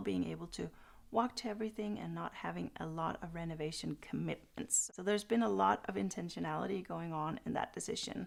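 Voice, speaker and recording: At a moderate pace, a woman speaks with a Danish accent. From Denmark. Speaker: podcaster. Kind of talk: channel introduction monologue.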